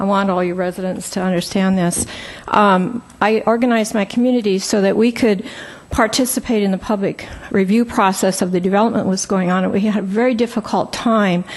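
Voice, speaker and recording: Over noticeable background noise, a woman with a medium pitch speaks at a fairly quick pace, her intonation fairly even and her loudness very even. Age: 70s. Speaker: public commenter, environmental advocate. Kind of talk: public comment at council meeting. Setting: city council meeting.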